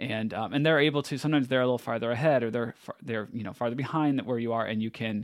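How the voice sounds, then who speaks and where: A man in a normal speaking voice talks at a medium pitch with fairly even intonation. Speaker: podcast host. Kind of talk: casual chat.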